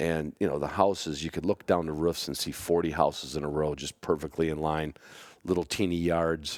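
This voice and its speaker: A man talks with an American accent in a very deep, low voice. The recording is very clean, with a silent background. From Chicago. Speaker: bird-dog hunter, podcast host. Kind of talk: casual podcast storytelling.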